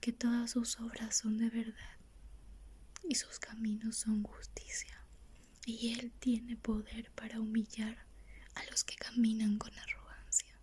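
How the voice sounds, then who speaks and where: Whispering at a very slow pace. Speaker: ASMR Bible reader. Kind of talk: reading aloud.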